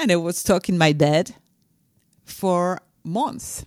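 Speaking very slowly with a French accent, a woman with a fairly low pitch is heard on a very clean recording with a silent background. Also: dry, close sound with no echo. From France. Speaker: leadership coach and author. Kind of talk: interview. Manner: halting.

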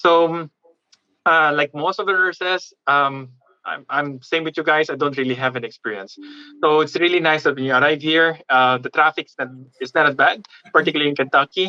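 A man talks at a fairly quick pace and a fairly high pitch, his tone bright and sharp. Long, frequent pauses break up his speech, and his pitch variation is ordinary. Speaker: nurse and content creator. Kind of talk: panel discussion.

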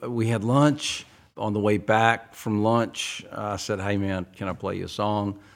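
A man speaks in an ordinary speaking voice, pitched fairly low. His pace is fairly slow and his intonation fairly even. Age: 60s. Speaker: songwriter. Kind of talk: casual interview conversation. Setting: studio.

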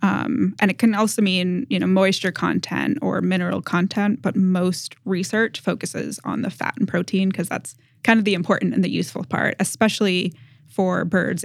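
A woman talks at a fairly quick pace, her medium pitch showing ordinary variation and vocal fry. The recording is very clean, with a silent background. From Massachusetts, New England. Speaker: graduate student researcher. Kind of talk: interview about her research.

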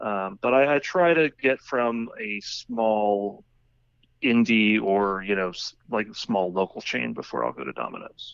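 At a fairly slow pace, a man with an American accent uses a normal speaking voice with fairly low pitch and lively intonation. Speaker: cartoonist and podcaster. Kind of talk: casual chat.

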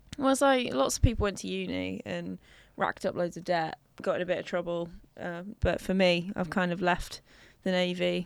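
A woman with a London accent speaks at a moderate pace. The recording is very clean, with a silent background. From North West London. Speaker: drinks company founder. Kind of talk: casual chat.

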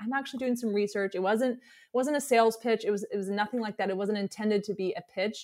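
A woman with an unremarkable speaking voice, fairly high in pitch, with ordinary pitch variation. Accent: American. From US South, Alabama. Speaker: web designer and entrepreneur. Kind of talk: casual interview.

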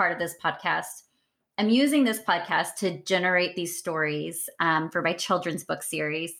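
A woman's ordinary speaking voice, medium in pitch, with an American accent and lively intonation, in a very clean recording with a silent background. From US South, East Texas. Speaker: podcast host. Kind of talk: casual interview.

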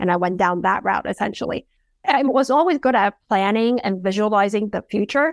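A plain, everyday voice from a woman at medium pitch and fairly quick pace, in a dry, close sound with no echo on a very clean recording with a silent background. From abroad, moved to US at nine. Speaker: physician and productivity coach. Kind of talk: interview.

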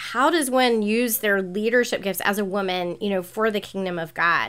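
A woman with an American accent speaks in a fairly high pitch with ordinary pitch variation, an ordinary speaking voice. The recording is very clean, with a silent background. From US South, North Carolina (Charlotte). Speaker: pastor and author. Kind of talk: interview conversation.

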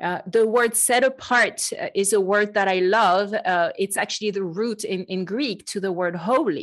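With a French accent, a woman of medium pitch speaks at a moderate pace with ordinary pitch variation and hardly any pauses, on a very clean recording with a silent background. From France. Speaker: podcast host and Bible teacher. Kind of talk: casual chat.

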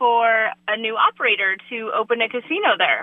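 A plain, everyday voice from a woman, moderate in pace, fairly high-pitched, its pitch varying in an ordinary way. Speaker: commercial real estate broker. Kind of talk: radio interview, sponsor spot.

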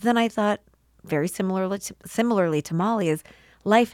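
This woman has an American accent and a normal speaking voice with ordinary pitch variation. The sound is dry and close, with no echo. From US Midwest (St. Louis). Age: 40s. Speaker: podcast producer and host. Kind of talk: casual interview chat.

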